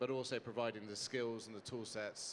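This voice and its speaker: A man with a British accent speaks at a medium pitch and a moderate pace. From UK. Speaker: founder of a hospitality mental health charity. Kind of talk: panel talk on stage. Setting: stage with audience. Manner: animated.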